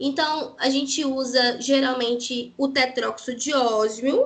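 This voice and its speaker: Raised and projected, a woman's high, bright, sharp voice shows ordinary pitch variation. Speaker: parasitology researcher and lecturer. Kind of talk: lecture.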